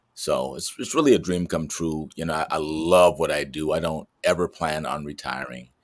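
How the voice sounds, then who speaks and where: The speech runs at a moderate pace with fairly even intonation and hardly any pauses. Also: man, very deep, low pitch for a man. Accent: American. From US Midwest (Chicago, Detroit). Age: 60s. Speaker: actor. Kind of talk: interview.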